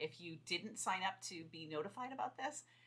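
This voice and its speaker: Woman's voice of medium pitch, bright and sharp in tone, with lively intonation. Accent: American. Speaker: fiction author and writing coach. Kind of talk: livestream chat to viewers. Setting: livestream video. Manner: fast; enthusiastic.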